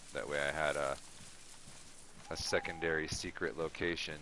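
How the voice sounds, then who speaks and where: A man speaks quietly at a moderate pace over noticeable background noise. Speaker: gaming streamer. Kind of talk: casual live-stream chat and storytelling. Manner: quiet, low-key; casual, hesitant with fillers.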